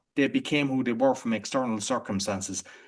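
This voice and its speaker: Speaking with an Irish accent, a man keeps a medium pitch and ordinary pitch variation. He goes at a moderate pace against a quiet background. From Ireland. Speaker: entrepreneur and podcaster. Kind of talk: interview conversation. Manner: halting, with frequent restarts.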